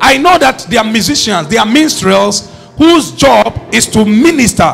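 Animated male voice, high-pitched, with very wide pitch swings, a moderate pace and music in the background. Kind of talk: sermon, preacher in full flow teaching from scripture. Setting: church with a congregation. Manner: animated, call-and-response, urging the congregation to repeat lines; emphatic, repetitive rhythmic build-up.

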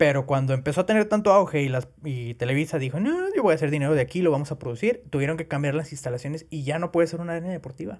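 In a Mexican accent, a man talks very fast with hardly any pauses. His pitch is fairly high, with ordinary variation. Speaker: podcast host. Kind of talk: casual chat.

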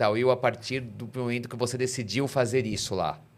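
An ordinary speaking voice at a moderate pace. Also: man. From Brazil. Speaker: podcast host. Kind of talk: casual interview.

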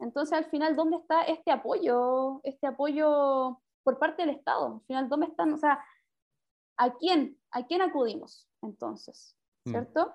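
A woman's high-pitched voice at a fairly slow pace, with big swings in loudness and ordinary pitch variation. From Chile, Santiago. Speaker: podcast co-host. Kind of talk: casual chat.

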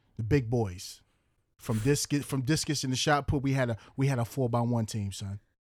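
A man with a New York accent, at medium pitch, a moderate pace, ordinary pitch variation and an animated tone, on a very clean recording with a silent background. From Long Island, New York (Central Islip, Suffolk County). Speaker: podcast host, police officer. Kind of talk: casual chat.

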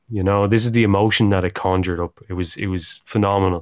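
A man with an Irish accent talks at a very fast pace in a fairly low pitch, on a very clean recording with a silent background. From Ireland. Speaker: climbing podcast co-host. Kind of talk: casual chat. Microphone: on the better equipment this time.

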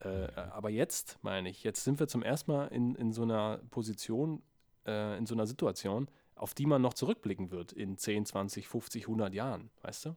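With a dark, mellow tone and medium pitch, a man talks at a moderate pace with ordinary pitch variation on a very clean recording with a silent background. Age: 20s. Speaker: podcast co-host, writer. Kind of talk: casual chat. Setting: home studio with mixing desk. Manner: serious, TV-expert-like tone.

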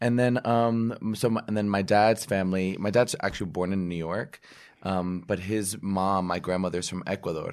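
Heard on a very clean recording with a silent background, a normal speaking voice moves at a moderate pace with fairly even intonation. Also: man, fairly low pitch for a man. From New Jersey. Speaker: Broadway actor. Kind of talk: casual chat.

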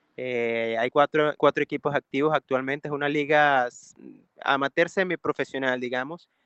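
A man has an ordinary speaking voice with a fairly high pitch. He talks at a moderate pace with fairly even intonation. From Venezuela, Valencia (Carabobo). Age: 30s. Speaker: singer and music producer. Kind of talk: interview.

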